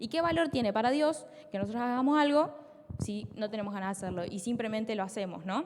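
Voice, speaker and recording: A woman's very fast speech with very wide pitch swings, over noticeable background noise. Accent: Rioplatense. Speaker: preacher. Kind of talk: sermon.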